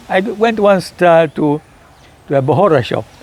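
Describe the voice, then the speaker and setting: Very wide pitch swings mark this high-pitched man's voice at a moderate pace. Noticeable background noise runs beneath him. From Zanzibar. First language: Kiswahili. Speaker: historian. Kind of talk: talk to an audience. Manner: halting.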